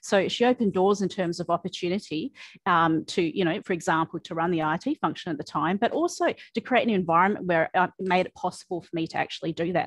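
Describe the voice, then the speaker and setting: A woman with an Australian accent speaks very fast at a fairly low pitch with ordinary pitch variation. The sound is dry with no echo, against a quiet background. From Western Australia. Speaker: technology executive; panelist. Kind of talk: panel discussion. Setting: video call. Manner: frequent fillers and repetitions. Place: office. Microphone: video call.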